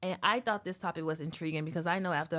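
Over music in the background, a woman talks at a very fast pace with fairly even intonation and a fairly low pitch. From US South. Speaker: podcast host. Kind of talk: show intro and housekeeping; casual chat.

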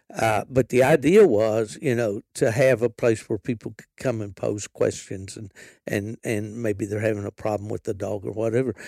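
A man with an Appalachian accent talks at a moderate pace and medium pitch, his tone dark and mellow, intonation fairly even, loudness swinging widely, the sound dry and close with no echo. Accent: Appalachian Southern US. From West Virginia. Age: 70s. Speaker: podcast host and veteran hound hunter. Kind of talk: casual interview. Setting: outdoors at a wildlife refuge.

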